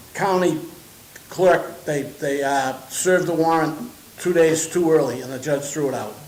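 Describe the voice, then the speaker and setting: The speech moves at a fairly slow pace with fairly even intonation. Audible room echo and noticeable background noise are present. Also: man. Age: 70s. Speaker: property owner, landlord. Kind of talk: public comment at a village board meeting. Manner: halting, repetitive.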